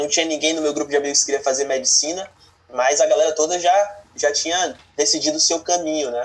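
A man speaks in an unremarkable speaking voice, pitched fairly high. His intonation is fairly even and his pace fairly quick. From Brazil, Bahia, moved between states. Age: 20s. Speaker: finance content creator. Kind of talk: interview.

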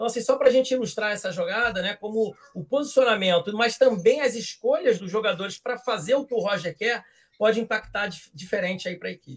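A man's high voice at a very fast pace, with ordinary pitch variation. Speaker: football fan commentator. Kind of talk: casual chat.

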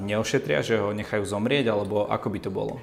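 A man talks at a medium pitch. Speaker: interviewer. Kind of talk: interview.

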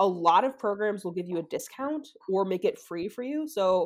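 A woman speaks at a medium pitch and moderate pace with an American accent. Hers is an ordinary speaking voice with ordinary pitch variation. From US Midwest, outside Chicago. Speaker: assistant professor of animal behavior. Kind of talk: interview. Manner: casual, filler-heavy.

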